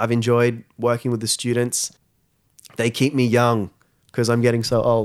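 Speaking with an Australian accent, a man keeps a medium pitch, monotone, flat intonation and very even loudness at a moderate pace, with long, frequent pauses. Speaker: school social media coordinator. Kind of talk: interview. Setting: studio.

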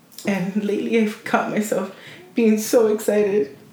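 There is audible echo from the room as a woman talks through noticeable background noise. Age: 20s. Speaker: podcast co-host. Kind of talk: casual chat.

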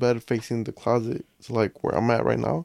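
A man with an American accent and an ordinary speaking voice talks at a fairly quick pace in a medium pitch, the sound dry and close with no echo. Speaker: podcast guest. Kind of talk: casual chat.

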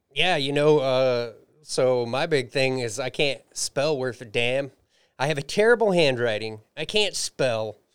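With a plain, everyday voice, a man talks at a fairly slow pace and medium pitch with ordinary pitch variation, in a very clean recording with a silent background. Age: 30s. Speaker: musician and comedian. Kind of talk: casual chat. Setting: studio.

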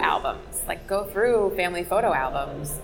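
There is noticeable background noise behind this woman. She talks at a moderate pace with a medium pitch and ordinary pitch variation. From New Jersey. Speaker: photographer and darkroom founder. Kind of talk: casual interview. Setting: coffee shop.

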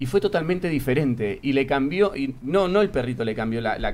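Very wide pitch swings run through this man's speech. He talks at a fairly quick pace. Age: 30s. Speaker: theatre actor. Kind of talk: casual chat.

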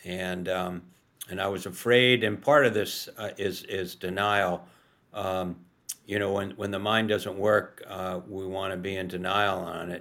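A man with a very deep, low pitch speaks in a monotone, flat intonation. His fairly slow delivery comes on a very clean recording with a silent background. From New York, US. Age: 70s. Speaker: author and journalist living with Alzheimer's. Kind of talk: casual interview. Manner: halting, repeats words and stumbles.

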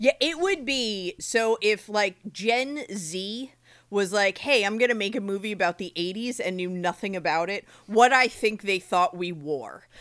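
In a normal speaking voice, a woman with an American accent talks at a fairly slow pace, her medium pitch carrying ordinary variation, on a very clean recording with a silent background. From New Jersey, Monmouth County. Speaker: podcast co-host. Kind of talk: casual chat.

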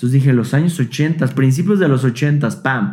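With a Mexican accent, a man talks at a fairly slow pace in a somewhat breathy, fairly high voice with lively intonation. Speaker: YouTuber and vintage toy collector. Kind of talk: casual interview chat.

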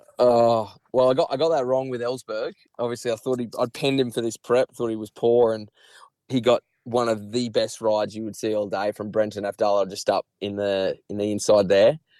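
A man with an Australian accent speaks at a medium pitch and a fairly quick pace, his tone dark and mellow, his intonation fairly even. The sound is dry and close with no echo, in a very clean recording with a silent background. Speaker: horse racing tipster. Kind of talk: casual chat.

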